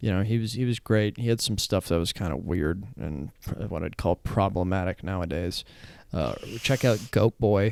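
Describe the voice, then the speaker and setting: The speaker mumbles quietly at a moderate pace, with ordinary pitch variation. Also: man, fairly low pitch for a man. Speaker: stand-up comedian. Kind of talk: casual chat. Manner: mumbly.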